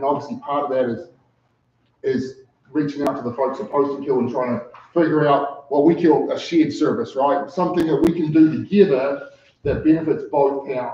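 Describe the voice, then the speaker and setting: At a moderate pace, a man with a fairly high voice talks with ordinary pitch variation. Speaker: ambulance service director and paramedic. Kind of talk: public meeting presentation.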